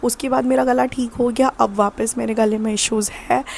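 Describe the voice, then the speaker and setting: Fairly slow speech from a woman over noticeable background noise. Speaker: vlogger. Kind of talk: casual chat.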